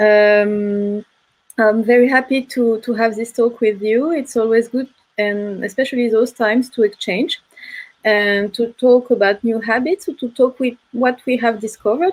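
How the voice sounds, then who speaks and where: A woman with a French accent speaks at a fairly slow pace and fairly high pitch, with ordinary pitch variation. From France. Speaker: film curator. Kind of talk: panel discussion. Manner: hesitant.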